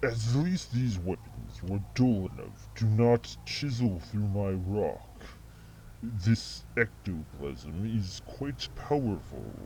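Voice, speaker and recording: Someone uses a put-on character voice at a very slow pace over clear background noise. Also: man, very deep, low pitch for a man. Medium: machinima. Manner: dry, measured.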